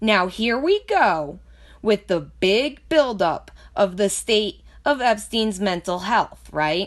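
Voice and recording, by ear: A woman speaks slowly at a medium pitch. Her intonation is lively.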